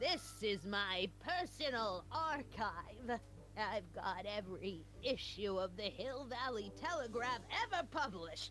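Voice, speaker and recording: Doing a put-on character voice, a woman speaks fairly slowly at medium pitch with very even loudness, over clear background noise. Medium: video game. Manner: prim, scolding, disapproving.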